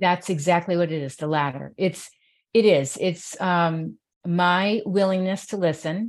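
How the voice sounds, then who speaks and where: Using an ordinary speaking voice, a woman with an American accent talks at a fairly slow pace and a fairly low pitch, with fairly even intonation, in a very clean recording with a silent background. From New York City. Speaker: mental health advocate and radio host. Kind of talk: interview conversation.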